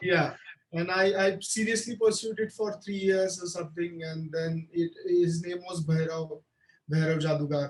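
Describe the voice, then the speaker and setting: The speech comes at a moderate pace with fairly even intonation, in a Marathi accent. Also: man, high pitch for a man. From India, Maharashtra (Solapur area). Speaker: film director. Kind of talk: interview. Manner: halting, many fillers and repetitions.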